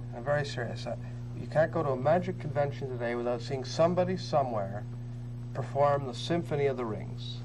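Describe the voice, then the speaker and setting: A fairly quick pace with ordinary pitch variation over noticeable background noise. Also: man. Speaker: host of magic video series. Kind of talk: interview question. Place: studio.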